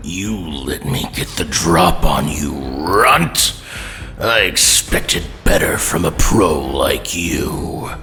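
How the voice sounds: Over clear music, a man uses a put-on character voice with extremely low pitch, lively intonation and a slow pace.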